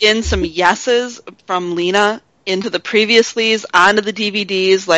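Natural-voiced reading aloud

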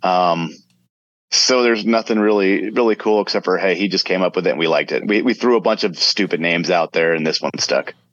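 A man speaks in a fairly low voice with ordinary pitch variation, a plain, everyday voice. The sound is dry and close with no echo. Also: very even loudness, quiet background. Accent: American. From South Florida. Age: 40s. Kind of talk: casual interview.

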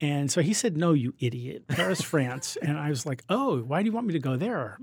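Somewhat breathy and fairly high-pitched, the man talks at a fairly quick pace. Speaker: tech company executive. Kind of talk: interview.

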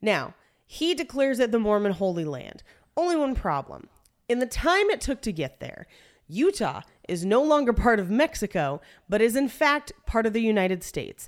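The recording is very clean, with a silent background. A woman speaks at a fairly high pitch with very wide pitch swings. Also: moderate pace. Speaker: podcast host. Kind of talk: casual comedic banter with scripted history narration. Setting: home recording space, echoey room. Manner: jokey, casual.

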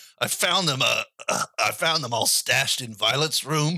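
A raspy, put-on character voice. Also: man. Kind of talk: comic improv. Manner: casual, rambling.

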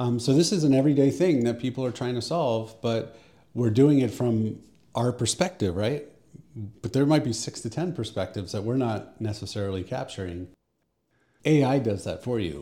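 Lively intonation runs through a man's medium-pitched voice, which has a dark, mellow tone. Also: moderate pace. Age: 40s. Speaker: AI expert and strategic planner. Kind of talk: casual interview.

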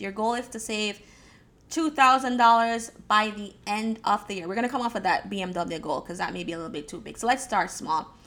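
Her medium-pitched voice is bright and sharp as this woman speaks at a moderate pace. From Jamaica. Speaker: podcast host and life coach. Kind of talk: motivational talk. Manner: hesitant with fillers.

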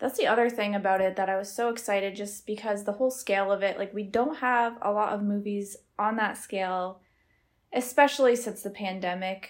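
Recorded very cleanly against a silent background, a woman with a medium pitch speaks at a fairly quick pace in an ordinary speaking voice, with fairly even intonation. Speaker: movie podcast co-host. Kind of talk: casual chat.

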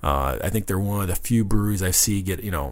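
A man talks at a fairly quick pace in a very deep, low pitch, with vocal fry and ordinary pitch variation. The recording is very clean, with a silent background. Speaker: beer radio co-host. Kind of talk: casual chat.

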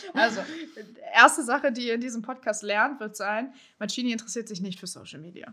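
A woman's fairly high, bright, sharp voice at a fairly quick pace, with big swings in loudness. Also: ordinary pitch variation. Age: 20s. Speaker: podcast co-host. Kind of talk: casual chat.

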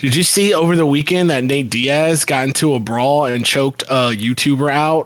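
At a moderate pace, a man in an ordinary speaking voice keeps a medium pitch with ordinary pitch variation. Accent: American. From Florida, Tampa Bay area. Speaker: podcast co-host. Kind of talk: casual chat.

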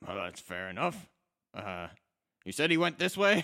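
Using a put-on character voice, a man speaks raspy and high-pitched at a moderate pace with big swings in loudness, on a very clean recording with a silent background. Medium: actual play. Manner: brisk, matter-of-fact.

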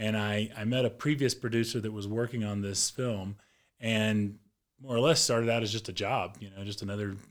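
A man with a normal speaking voice talks fairly quickly at a medium pitch. His intonation is fairly even, and the recording is very clean with a silent background. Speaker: film producer and cinematographer. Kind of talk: interview.

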